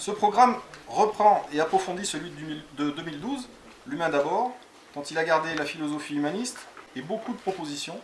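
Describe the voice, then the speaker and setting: Noticeable background noise surrounds a man speaking at a fairly quick pace with a high pitch and lively intonation. His loudness swings widely, and he leaves long, frequent pauses. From France, Cantal (Aurillac). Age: 40s. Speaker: parliamentary candidate. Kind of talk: campaign presentation.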